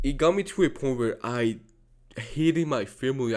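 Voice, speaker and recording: The speaker is a man with a Georgian accent. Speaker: youtuber. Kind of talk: personal monologue. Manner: repetitive, halting.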